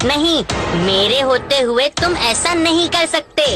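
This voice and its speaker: In a cartoonish character voice with a high pitch, a woman talks at a fairly slow pace over clear background noise. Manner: lively, friendly.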